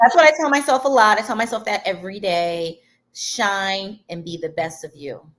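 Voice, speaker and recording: Speaking at a moderate pace with a Detroit accent, a woman uses an animated tone, medium pitch, very wide pitch swings and big swings in loudness. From Detroit, Michigan. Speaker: design event organizer. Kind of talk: interview. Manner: loud, animated.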